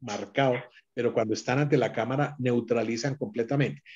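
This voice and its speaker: A man at medium pitch. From Colombia, Antioquia (paisa). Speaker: actor. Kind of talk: interview. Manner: halting, many fillers.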